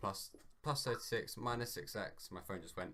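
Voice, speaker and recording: A British accent is heard here. The speaker is male. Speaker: maths tutorial maker. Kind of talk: tutorial. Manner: hesitant, many ums; loud.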